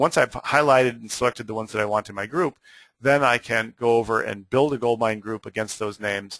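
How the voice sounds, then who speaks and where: A man talks at a very fast pace and medium pitch with fairly even intonation. The sound is dry and close with no echo, over a quiet background. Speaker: software trainer presenting a webinar. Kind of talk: webinar tutorial. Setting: online webinar.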